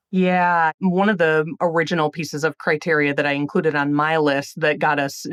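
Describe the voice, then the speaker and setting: A woman with a strong Wisconsin accent speaks at a very deep, low pitch with fairly even intonation. The sound is dry and close with no echo, over a quiet background. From Illinois. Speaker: magazine editor. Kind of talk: interview.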